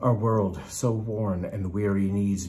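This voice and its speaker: Somewhat breathy and at a very slow pace, the voice sits over light background noise. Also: man. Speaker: poetry reader. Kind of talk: poetry reading, after a short spoken introduction. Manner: measured, earnest and rhythmic, stirring. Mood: earnest, expressive.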